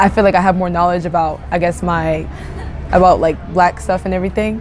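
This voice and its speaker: A woman speaks in a monotone, flat intonation amid noticeable background noise and audible room echo. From Japan (Ibaraki). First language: Japanese. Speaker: interviewee. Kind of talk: interview. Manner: hesitant, many fillers.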